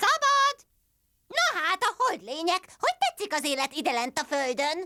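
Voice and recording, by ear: This cartoonish character voice sits at an extremely high pitch and swings very widely up and down.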